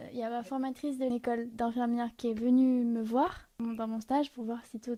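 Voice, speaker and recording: A woman's high-pitched, monotone, flat voice at a moderate pace. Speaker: nursing student. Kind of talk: casual chat. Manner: shy, reserved.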